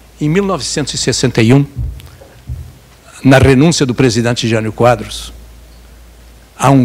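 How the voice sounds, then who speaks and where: Over noticeable background noise, a man speaks at a fairly slow pace with a medium pitch. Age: 80s+. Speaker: journalist. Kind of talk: lecture.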